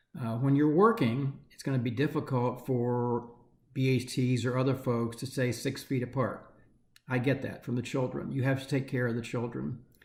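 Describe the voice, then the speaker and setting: A man talks in a somewhat breathy voice at a medium pitch. His pace is moderate and his intonation fairly even. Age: 60s. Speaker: nonprofit chief executive. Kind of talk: candid video address to staff. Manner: hesitant, many fillers.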